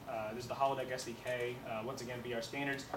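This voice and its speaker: Very fast speech from a man amid audible room echo and noticeable background noise. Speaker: student game developer. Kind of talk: project pitch presentation.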